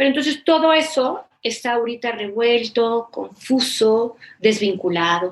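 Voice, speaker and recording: Lively intonation marks a plain, everyday voice that moves at a fairly slow pace. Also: woman, fairly high pitch for a woman. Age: 50s. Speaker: therapist. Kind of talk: interview conversation.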